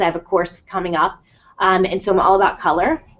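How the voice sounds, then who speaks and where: A woman speaks with a New Jersey accent. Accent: New Jersey American. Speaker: life coach. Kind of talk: live webinar talk. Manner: fast; animated.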